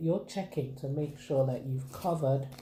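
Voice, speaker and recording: Speaking at a moderate pace, a woman is heard with audible room echo and noticeable background noise. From Nigeria (Akwa Ibom State, Ibibio). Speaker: craft vlogger. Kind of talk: tutorial. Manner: chatty, informal.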